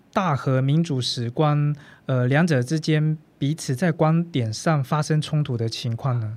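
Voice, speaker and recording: Delivered at a fairly slow pace, this is an ordinary speaking voice on a very clean recording with a silent background. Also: man. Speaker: podcast host. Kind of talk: interview. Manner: formal.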